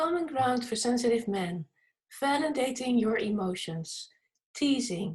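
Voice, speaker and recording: A woman talks at a moderate pace. She has an ordinary speaking voice with fairly high pitch. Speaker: summit host, interviewer. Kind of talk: interview questions.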